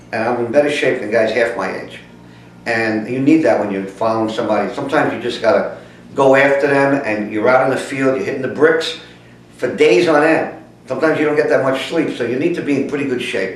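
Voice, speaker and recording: Speaking very fast with a New York accent, a man uses a medium pitch with ordinary variation. Noticeable background noise and audible room echo are present. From New York City (the Bronx). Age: 60s. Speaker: private investigator. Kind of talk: casting pitch to camera. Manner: hesitant, many fillers.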